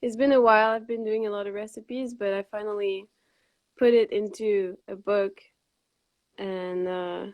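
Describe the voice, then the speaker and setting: A woman with a Quebec accent talks in a flat monotone, leaving long, frequent pauses. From Montreal, Quebec, Canada. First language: French. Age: 20s. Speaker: raw vegan cookbook author. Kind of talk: live video interview. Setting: live stream video call.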